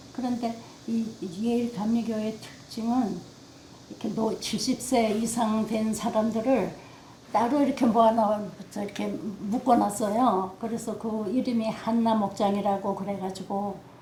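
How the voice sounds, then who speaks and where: Amid audible room echo and noticeable background noise, a woman talks at a fairly slow pace in a monotone, flat voice. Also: fairly high pitch for a woman. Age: old. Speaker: oral history interviewee. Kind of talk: oral history interview. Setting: seniors' center room.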